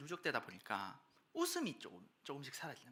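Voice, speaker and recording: Speech in a Gyeongsang accent at a moderate pace. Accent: Gyeongsang dialect, noticeable. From Daegu, Gyeongsang region, South Korea. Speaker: preacher. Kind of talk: sermon.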